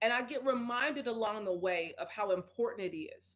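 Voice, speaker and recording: This woman sounds animated. Her intonation is lively. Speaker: speaker and wellness advocate. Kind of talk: interview. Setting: live stream. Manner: loud.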